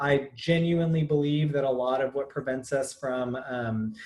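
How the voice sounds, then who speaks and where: The man sounds somewhat breathy and keeps his intonation fairly even. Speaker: real estate trainer. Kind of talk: webinar presentation. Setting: video call. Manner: fast; frequent filler ums.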